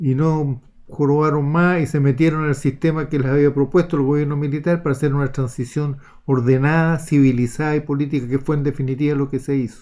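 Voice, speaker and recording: A man with a Chilean accent speaks at a fairly quick pace with a dark, mellow tone. His pitch is fairly high and his intonation monotone and flat. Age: 70s. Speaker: retired naval officer. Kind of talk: political commentary monologue.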